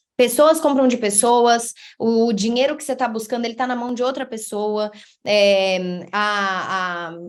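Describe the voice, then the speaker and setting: Speaking at a fairly slow pace, a woman sounds animated, her fairly high pitch showing ordinary variation. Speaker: content creator and marketing speaker. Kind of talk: online talk / presentation.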